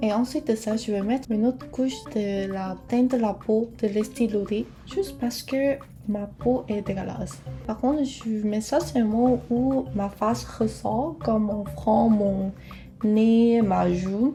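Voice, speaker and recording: Against music in the background, a woman speaks at a very slow pace, fairly high in pitch with ordinary pitch variation. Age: 20s. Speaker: beauty vlogger. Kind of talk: casual talk to camera.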